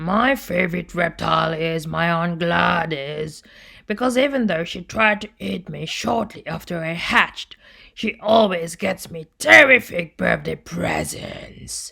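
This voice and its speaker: This put-on character voice is raspy, sits at a middle pitch, and moves at a fairly slow pace. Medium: read story.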